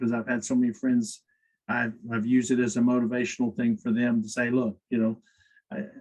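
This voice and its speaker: The speaker is a man with a medium pitch. He talks very fast. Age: 60s. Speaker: company executive, podcast guest. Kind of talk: interview conversation.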